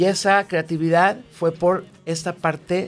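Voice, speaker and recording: Speaking at a fairly slow pace, a man has a high pitch. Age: 40s. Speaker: sales and marketing director. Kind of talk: casual chat.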